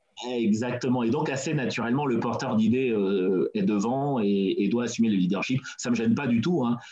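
A man at medium pitch with ordinary pitch variation, a moderate pace, hardly any pauses and very even loudness, plus audible room echo and noticeable background noise. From France, Seine-Saint-Denis (Pierrefitte). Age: 40s. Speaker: entrepreneur. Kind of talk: interview. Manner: hesitant, many fillers.

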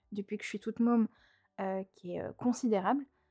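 The recording of this woman is dry and close, with no echo. Her fairly high voice is somewhat breathy, with a dark, mellow tone and fairly even intonation. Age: 20s. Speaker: podcast host. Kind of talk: casual monologue. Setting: alone at home microphone. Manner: chatty, many fillers.

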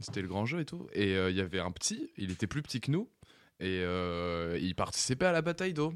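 Recorded very cleanly over a silent background, a man with fairly low pitch talks at a fairly quick pace, his pitch swinging very widely. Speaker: studio technician and co-producer. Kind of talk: casual radio chat.

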